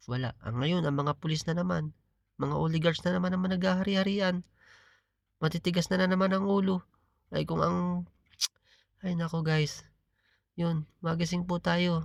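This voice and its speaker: At a moderate pace and a high pitch, a man speaks with long, frequent pauses. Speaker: political vlogger. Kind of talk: political commentary monologue. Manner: halting, with filler pauses.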